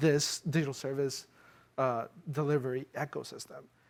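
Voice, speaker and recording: This is a man speaking. He talks with a non-native accent. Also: very clean recording, silent background. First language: not English. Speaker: former fellow, policy panelist. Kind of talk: panel discussion at live event. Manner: halting, frequent fillers.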